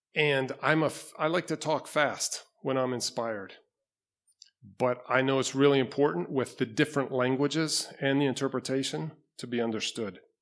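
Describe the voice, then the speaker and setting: This is a man with an unremarkable speaking voice at medium pitch. He keeps a moderate pace with ordinary pitch variation. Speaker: pastor. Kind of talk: sermon. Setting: church.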